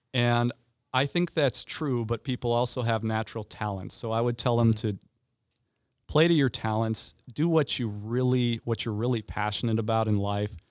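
An unremarkable speaking voice from a man at medium pitch, moderate pace and ordinary pitch variation, on a very clean recording with a silent background. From Indiana, partly raised in Ireland. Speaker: teacher and former lawyer. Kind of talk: casual interview.

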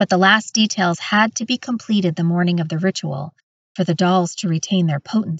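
Over a quiet background comes plain reading aloud with ordinary pitch variation.

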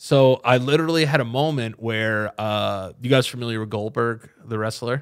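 A man's normal speaking voice at medium pitch, moderate pace and ordinary pitch variation, with hardly any pauses. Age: 30s. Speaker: comedian. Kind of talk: casual chat.

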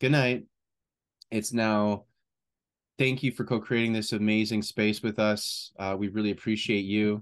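A man with a fairly low pitch talks at a fairly slow pace, leaving long, frequent pauses, over a quiet background. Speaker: podcast co-host. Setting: video podcast recording. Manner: enthusiastic, chatty.

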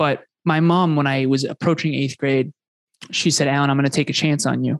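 In a dry, close recording with no echo, a man with a fairly high pitch talks at a moderate pace with fairly even intonation in an ordinary speaking voice. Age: 30s. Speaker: business coach and podcast host. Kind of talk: interview conversation.

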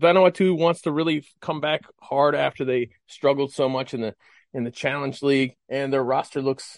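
The speaker has a Mid-Atlantic accent and keeps a moderate pace. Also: man. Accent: American, Mid-Atlantic. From US, Maryland. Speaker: cricket correspondent. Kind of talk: casual chat.

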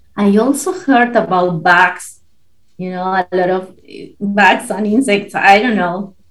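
A woman talks with a Spanish accent at a medium pitch. Her pace is fairly slow and her intonation fairly even. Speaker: podcast guest relocating abroad. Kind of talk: casual interview chat.

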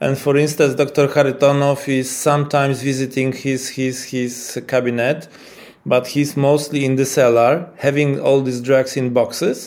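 A man speaks with a Polish accent at a moderate pace. His fairly high voice is monotone and flat. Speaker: epileptologist. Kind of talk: interview. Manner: halting.

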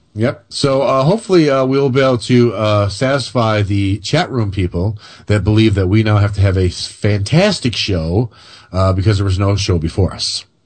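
A somewhat breathy man's voice sits at a fairly low pitch and shows ordinary pitch variation. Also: moderate pace. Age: 50s. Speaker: radio co-host. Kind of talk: casual chat. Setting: studio.

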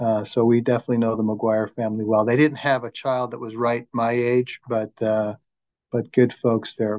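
In a dry, close recording with no echo, a man with an American accent speaks at a moderate pace and medium pitch in a monotone, flat intonation. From Arizona, Flagstaff. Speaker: law society chapter chair, podcast interviewer. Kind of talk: interview.

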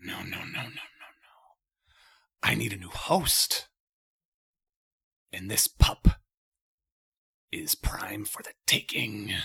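A booming yet whispering put-on character voice, raspy, at a very slow pace with long, frequent pauses. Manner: mocking, menacing.

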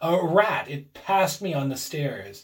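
A man's shaky, put-on character voice, fairly high in pitch, with lively intonation at a fairly slow pace. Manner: frightened.

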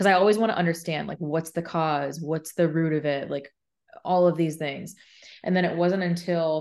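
A woman with an American accent and a fairly low pitch has an unremarkable speaking voice with fairly even intonation. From Arizona. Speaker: mental health podcaster and speaker. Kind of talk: interview. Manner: casual, filler-heavy.

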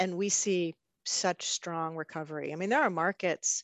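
A woman with an unremarkable speaking voice talks in a fairly low pitch with fairly even intonation. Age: 60s. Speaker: travel industry executive. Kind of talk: interview.

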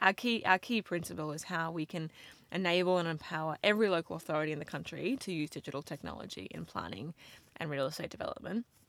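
Over a silent background in a very clean recording, a woman talks very fast with vocal fry, fairly low pitch and ordinary pitch variation. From Australia. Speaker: government digital engagement officer. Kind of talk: professional interview.

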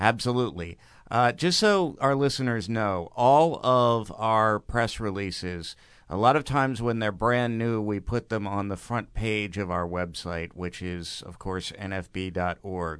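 Against a quiet background, a man with a plain, everyday voice talks at a fairly slow pace, his fairly low pitch rising and falling in an ordinary way. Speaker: news reporter. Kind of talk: news reading.

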